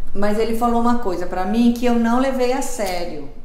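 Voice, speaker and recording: With noticeable background noise behind her, a woman with a Brazilian accent speaks at medium pitch and a moderate pace. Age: 50s. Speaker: lifestyle and menopause vlogger. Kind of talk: casual talk to camera.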